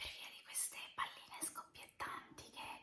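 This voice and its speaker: A woman is whispering. She goes at a fairly slow pace. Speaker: ASMR creator. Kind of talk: ASMR whispering. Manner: whispered; soft-spoken.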